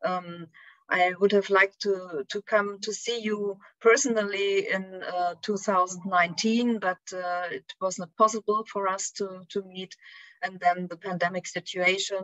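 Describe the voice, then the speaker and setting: In a German accent, a woman speaks at a fairly slow pace. Her intonation is monotone and flat. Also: medium pitch for a woman, big swings in loudness. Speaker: philosophy scholar. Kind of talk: academic lecture. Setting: video call. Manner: halting.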